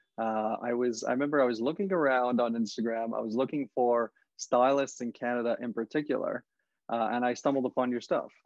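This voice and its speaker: This man has a plain, everyday voice at a medium pitch. He talks at a fairly quick pace. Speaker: podcast host. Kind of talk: podcast interview questions.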